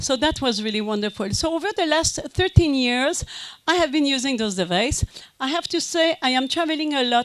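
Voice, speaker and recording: A woman with a French Canadian accent, high pitch and lively intonation at a moderate pace. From Quebec, French Canada. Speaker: business consultant and company president. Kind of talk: conference talk. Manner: hesitant, many fillers.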